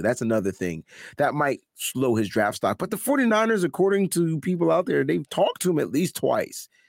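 The speaker uses an animated tone at a moderate pace. The recording is very clean with a silent background and a dry, close sound with no echo. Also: man. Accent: American. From Connecticut, New Haven. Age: 40s. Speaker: music teacher. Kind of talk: casual chat.

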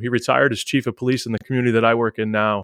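In a quiet setting with a dry, close sound and no echo, a man with an American accent and medium pitch speaks very fast in a monotone, flat delivery. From Massachusetts, Boston area. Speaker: police officer and school speaker. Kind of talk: interview. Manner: halting.

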